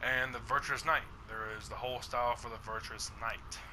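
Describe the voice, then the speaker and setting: Over noticeable background noise, a man keeps a moderate pace. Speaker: gaming YouTuber. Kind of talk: gameplay tutorial. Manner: casual, hesitant with many fillers.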